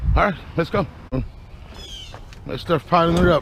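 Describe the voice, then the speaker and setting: A man speaks fairly quickly in a high pitch while noticeable background noise carries on behind him. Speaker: scrapper vlogger. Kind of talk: casual vlog narration. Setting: outdoors, street curbside. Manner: naturally loud; quieter, held back this early.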